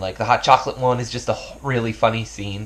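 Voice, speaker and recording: Somewhat breathy speech unfolds at a fairly quick pace. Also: man. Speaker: YouTuber. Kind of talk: casual vlog talk. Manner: fast; stumbling, filler words.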